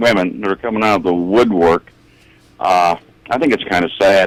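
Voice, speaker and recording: A man speaks at a very deep, low pitch with ordinary pitch variation. The sound is dry and close with no echo, and there is noticeable background noise. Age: 70s. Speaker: caller. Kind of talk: call-in comment.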